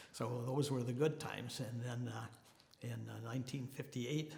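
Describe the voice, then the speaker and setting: A man with an American accent and medium pitch speaks with fairly even intonation, with audible room echo and noticeable background noise. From Minnesota. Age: 80s+. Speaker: person in long-term recovery, Marine veteran. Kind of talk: testimony. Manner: halting, many fillers.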